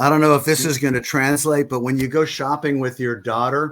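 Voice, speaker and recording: A man's medium-pitched voice with fairly even intonation at a moderate pace. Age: 60s. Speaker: sports podcast co-host, football fan. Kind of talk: casual chat.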